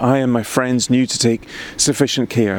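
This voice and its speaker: A man speaks with a Scottish accent. Noticeable background noise is present. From Scotland, Highland Perthshire. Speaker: poet. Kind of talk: casual chat; reading aloud.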